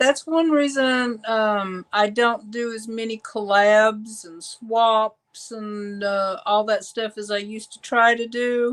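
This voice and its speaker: On a very clean recording with a silent background, a woman speaks very slowly with hardly any pauses, her pitch fairly high, her intonation fairly even and her loudness swinging widely. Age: 60s. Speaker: artist and YouTuber. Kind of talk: casual interview chat.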